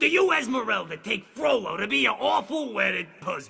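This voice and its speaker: A man uses a cartoonish character voice with a high pitch, very wide pitch swings, a raised, projected delivery and a moderate pace. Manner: theatrical, showy.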